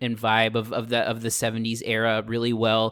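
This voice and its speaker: In a plain, everyday voice, a man with an American accent talks at a fairly quick pace and medium pitch. The sound is dry and close with no echo, a very clean recording with a silent background. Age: 30s. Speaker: podcast co-host. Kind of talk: casual chat.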